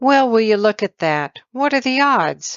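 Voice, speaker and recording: This is a put-on character voice that sounds female. The pitch sits fairly high for a woman. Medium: read story. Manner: wry, teasing.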